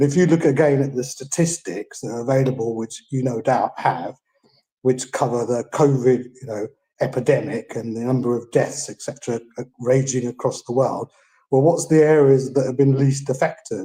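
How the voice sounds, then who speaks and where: At a moderate pace, a man speaks at a medium pitch with fairly even intonation and a somewhat breathy sound. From England. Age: 60s. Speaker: caller. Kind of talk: live Q&A call-in. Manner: halting with many fillers.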